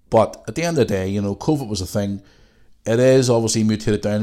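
A man's very fast, dark, mellow voice in a Northern Irish accent, recorded very cleanly over a silent background. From Northern Ireland. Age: 40s. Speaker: podcast host. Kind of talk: casual monologue. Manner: blunt and profane.

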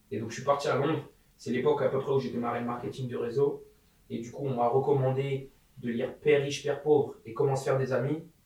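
Against noticeable background noise, a man speaks very fast in a flat monotone. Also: medium pitch for a man. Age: 20s. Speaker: entrepreneur. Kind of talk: casual chat.

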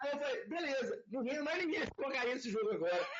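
A man's extremely high voice with very wide pitch swings. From Minas Gerais, Brazil (Itaúna). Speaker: airsoft player and youtuber. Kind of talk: casual interview chat.

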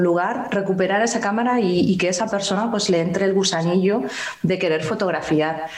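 A woman talks at a moderate pace with ordinary pitch variation, with audible room echo and noticeable background noise around her. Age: 40s. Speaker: analog photographer and YouTuber. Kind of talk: casual interview.

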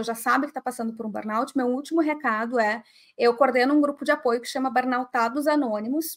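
Talking at a fairly quick pace, a woman uses a high pitch with ordinary pitch variation. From southern Brazil, Porto Alegre. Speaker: writer and mental health speaker. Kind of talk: live interview.

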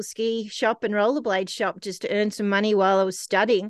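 Dry and close with no echo, a woman's voice holds a monotone, flat intonation. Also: quiet background. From Australia, Canberra. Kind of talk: casual interview. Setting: remote call.

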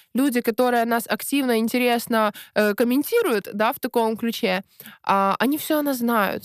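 A woman with a high pitch speaks fairly slowly, her intonation fairly even and her loudness very even. The recording is very clean and dry, close with no echo and a silent background. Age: 20s. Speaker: blogging course creator. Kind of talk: podcast interview.

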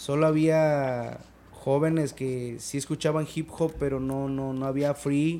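Very slow delivery, a dark, mellow tone, and monotone, flat intonation. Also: man, fairly high pitch for a man. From Mexico, Quintana Roo (Chetumal). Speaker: rapper. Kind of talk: casual chat.

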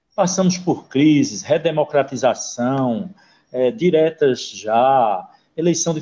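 A man with a dark, mellow tone and a fairly high pitch speaks very slowly with lively intonation. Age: 50s. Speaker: podcast host. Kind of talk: casual interview.

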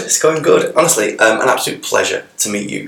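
The room echo is audible. A man's voice is heard in it. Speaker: podcast host. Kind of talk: casual chat.

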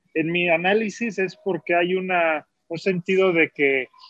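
This man has a high-pitched voice. His intonation stays fairly even. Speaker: film director. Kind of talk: casual chat.

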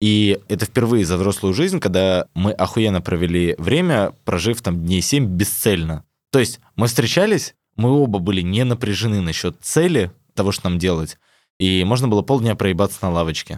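A man's fairly low voice with an animated tone, ordinary pitch variation, very even loudness and a moderate pace, on a very clean recording with a silent background. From Ukraine. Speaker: podcast guest. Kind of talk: casual banter with swearing. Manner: loud, animated, joking.

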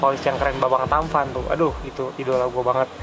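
Music plays in the background as a man talks at a very fast pace. His pitch sits in the medium range. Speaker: solo podcaster. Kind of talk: casual monologue. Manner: halting, many fillers. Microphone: poor audio quality, noisy.

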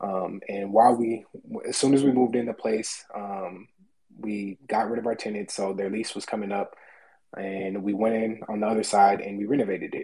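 This man speaks at a moderate pace and a fairly low pitch. His intonation is monotone and flat. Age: 20s. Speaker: real estate agent. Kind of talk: personal story.

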